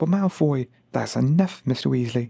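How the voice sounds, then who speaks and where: A soft-spoken man's somewhat breathy, medium-pitched voice, dark and mellow with a soothing tone, at a fairly slow pace. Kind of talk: ASMR audiobook reading. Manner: soft-spoken, soothing.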